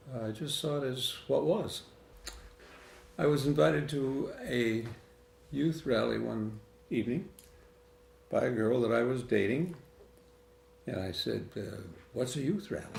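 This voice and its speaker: A man with an American accent speaks at a medium pitch and fairly slow pace, with lively intonation and long, frequent pauses, amid noticeable background noise and audible room echo. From Michigan (Lapeer County). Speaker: interviewee in family documentary. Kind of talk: interview storytelling.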